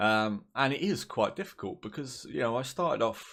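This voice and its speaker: Heard in a very clean recording with a silent background, a man with a southern English accent talks in a relaxed tone at medium pitch with lively intonation. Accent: southern English drawl. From southern England. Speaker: gaming YouTuber. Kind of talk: casual gaming commentary. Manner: relaxed, rambling.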